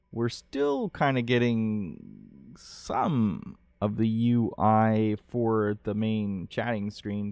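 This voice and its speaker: Speaking in a slight Ohio accent, a man uses a fairly low pitch and fairly even intonation. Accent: slight Canadian-like Ohio. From Ohio, US. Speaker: game developer and streamer, Marine veteran. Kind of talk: live stream vlog. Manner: halting, many fillers.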